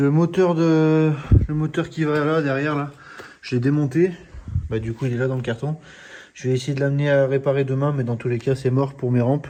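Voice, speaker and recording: Fairly quick yet broken by long, frequent pauses, a man speaks at a fairly high pitch with fairly even intonation. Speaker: car restoration YouTuber. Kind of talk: DIY workshop vlog. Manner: soft-spoken; halting.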